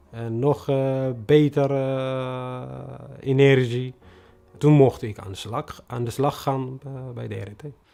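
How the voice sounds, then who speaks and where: Over noticeable background noise, a man talks very slowly at a medium pitch, his intonation monotone and flat while his loudness swings widely. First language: non-Dutch (speaking Dutch). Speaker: refugee newcomer, bus driver. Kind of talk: personal testimony interview. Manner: halting, many hesitations.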